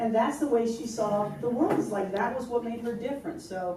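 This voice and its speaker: A woman speaks at a very fast pace in a high pitch. Noticeable background noise and audible room echo fill the recording. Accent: American. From US, New York. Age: 60s. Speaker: interfaith minister and lawyer. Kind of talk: panel discussion.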